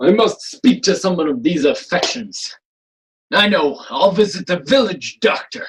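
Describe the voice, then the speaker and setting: A man puts on a character voice, high-pitched with lively intonation. He speaks at a moderate pace. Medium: stage play. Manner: sarcastic, haughty.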